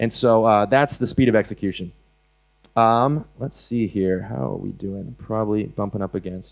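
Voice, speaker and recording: A man with an American accent speaks at a fairly low pitch, his pitch varying in an ordinary way. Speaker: animal rights activist speaker. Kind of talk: conference talk. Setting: stage with audience. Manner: fast; hesitant, many fillers.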